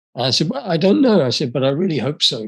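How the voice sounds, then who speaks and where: A man's lively intonation with an English accent. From England. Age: 70s. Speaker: speaker and author. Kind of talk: talk to an audience. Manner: halting.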